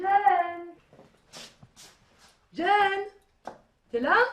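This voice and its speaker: A woman speaks in a put-on character voice. It reaches an extremely high pitch. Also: ordinary pitch variation. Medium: short film.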